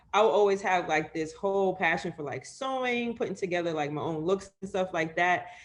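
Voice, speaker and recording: A woman with an American accent speaks in a normal speaking voice at medium pitch. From New York City (Harlem). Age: 20s. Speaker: sports media editor. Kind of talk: interview.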